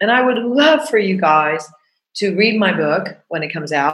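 A woman talks at a moderate pace. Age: 60s. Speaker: podcast host and coach. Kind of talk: casual monologue. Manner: animated.

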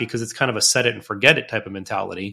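On a very clean recording with a silent background, a man talks at a very fast pace in a bright, sharp tone with ordinary pitch variation. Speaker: financial consultant. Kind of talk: casual chat.

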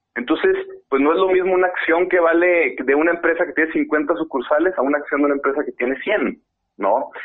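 A man speaks with a Mexican accent. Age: 30s. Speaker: fintech CEO. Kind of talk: interview. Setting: at home.

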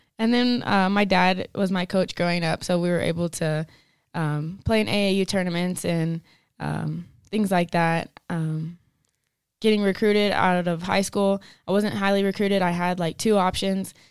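Medium in pitch, a woman with an American accent has an ordinary speaking voice. She keeps a moderate pace and fairly even intonation. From West Texas (Denver City, near Lubbock). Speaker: college basketball player. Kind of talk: testimony.

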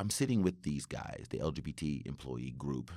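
Vocal fry runs through this man's very deep, low voice, which has ordinary pitch variation. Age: 40s. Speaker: IT professional and community volunteer. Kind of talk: casual chat. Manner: animated.

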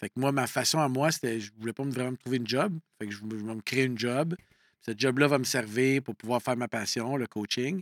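In an ordinary speaking voice, a man talks at a medium pitch and a fairly quick pace with ordinary pitch variation. The sound is dry and close with no echo, on a very clean recording with a silent background. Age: 50s. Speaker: coach and entrepreneur. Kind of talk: casual interview conversation.

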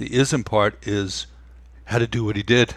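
With an American accent, a man speaks at a medium pitch with vocal fry and fairly even intonation, captured in a very clean recording against a silent background. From New York. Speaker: meditation teacher and musician. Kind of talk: casual interview.

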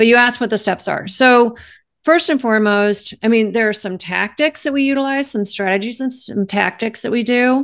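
A woman with a normal speaking voice talks at a moderate pace and a fairly high pitch. Her pitch variation is ordinary, and the background is quiet. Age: 50s. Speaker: life coach. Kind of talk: interview.

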